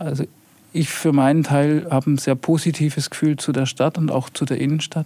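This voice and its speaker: A man talks at a moderate pace in a fairly high, dark, mellow voice with monotone, flat intonation. The loudness stays very even, and the sound is dry and close with no echo. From Heilbronn, Baden-Württemberg. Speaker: head of a city property and urban renewal office. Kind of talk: podcast interview.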